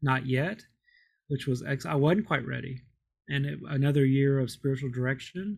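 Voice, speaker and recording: Speaking with an American accent at a moderate pace, a man has an unremarkable speaking voice with a fairly high pitch. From Kentucky, US. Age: 50s. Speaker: Episcopal priest. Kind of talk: interview. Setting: remote call.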